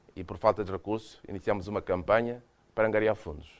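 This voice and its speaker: At a fairly quick pace, a man with a Mozambican accent speaks with fairly even intonation. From Mozambique. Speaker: UN agency official, former agriculture minister. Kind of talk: lecture. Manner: hesitant, with many repeated words.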